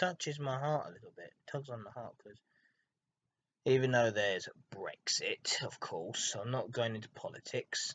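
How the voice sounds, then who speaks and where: A man speaks with a British accent at a moderate pace. His loudness swings widely, and the sound is dry and close with no echo. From Britain. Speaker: YouTuber, trainspotting and ASMR. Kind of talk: casual vlog monologue. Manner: halting.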